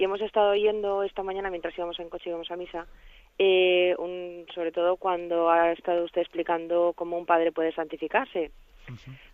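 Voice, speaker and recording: The speaker uses an ordinary speaking voice at a fairly quick pace, with fairly even intonation and big swings in loudness. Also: woman, fairly low pitch for a woman. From Spain, Valencia. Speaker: radio caller. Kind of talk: phone-in question.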